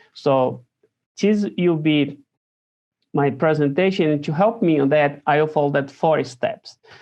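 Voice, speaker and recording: This man speaks at a fairly slow pace. His pitch is fairly high. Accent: Brazilian. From Brazil. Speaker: theology professor, priest. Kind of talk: recorded lecture presentation. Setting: recording at home. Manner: slow, deliberate; hesitant, many fillers.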